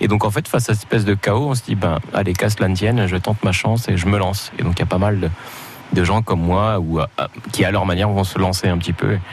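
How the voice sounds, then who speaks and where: With music in the background, a man talks very fast at a fairly low pitch, his intonation fairly even and his loudness very even. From Morocco. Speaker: comedian. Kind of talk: radio interview.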